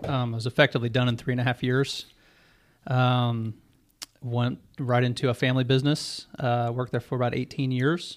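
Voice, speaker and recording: This man talks fairly quickly in a medium pitch, his intonation flat and monotone. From Missouri (Ferguson, St. Louis area), then Atlanta suburbs from sixth grade. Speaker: mortgage loan officer. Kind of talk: casual chat.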